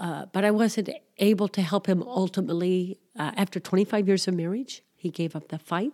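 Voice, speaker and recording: Speaking with an American accent, a woman uses ordinary pitch variation at a medium pitch and moderate pace, in a dry, close sound with no echo. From US Midwest (Missouri). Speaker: missionary pastor and aid worker. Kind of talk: interview testimony. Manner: halting, many fillers.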